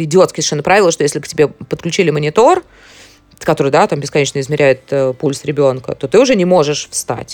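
A woman talks at a fairly quick pace with ordinary pitch variation. Hers is a plain, everyday voice. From Moscow, Russia. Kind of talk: interview.

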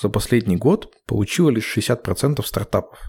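A man speaks fairly slowly at medium pitch, his dark, mellow tone edged with vocal fry. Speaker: podcast host. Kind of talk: casual chat. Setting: video call.

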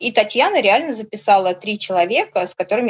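This woman speaks. Her pace is very fast. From Orenburg, Russia. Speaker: tour participant, former factory worker. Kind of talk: casual interview chat. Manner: animated, emotional.

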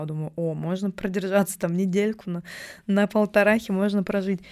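Delivered in a dark, mellow tone, the speech races along at a very fast pace. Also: woman. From Russia, Novosibirsk. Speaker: video production founder. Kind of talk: casual chat.

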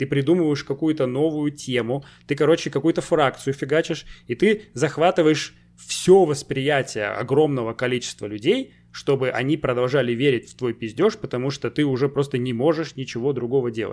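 With a normal speaking voice, a man talks at a moderate pace and a fairly high pitch, using ordinary pitch variation. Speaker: podcast host. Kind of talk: casual chat. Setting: video call.

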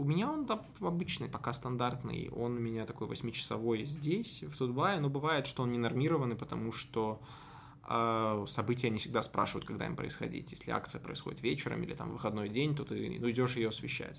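At a fairly quick pace, a man speaks in a medium pitch with ordinary pitch variation, and audible room echo. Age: 20s. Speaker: political journalist. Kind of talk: interview.

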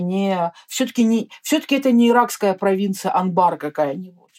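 Dry and close with no echo, a woman's dark, mellow voice moves at a moderate pace with lively intonation. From Russia. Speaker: orientalist and travel author. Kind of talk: interview. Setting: remote call.

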